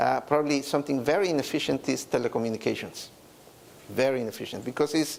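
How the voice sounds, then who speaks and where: Noticeable background noise sits behind the voice. A man with a Mexican accent speaks at a fairly high pitch. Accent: Mexican Spanish accent, moderate. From Mexico. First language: Spanish. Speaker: business executive. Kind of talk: conference talk. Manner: hesitant, many fillers and repetitions.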